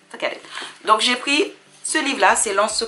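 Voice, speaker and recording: Over noticeable background noise, a woman's voice rises and falls with lively intonation. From Dominica. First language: English (speaking French). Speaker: sewing hobbyist vlogger. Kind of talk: casual haul vlog. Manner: halting, many fillers.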